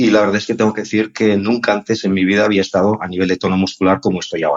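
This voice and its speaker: A man speaks at a fairly quick pace. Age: 60s. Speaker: listener sending a question. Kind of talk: recorded voice question. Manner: hesitant, with fillers.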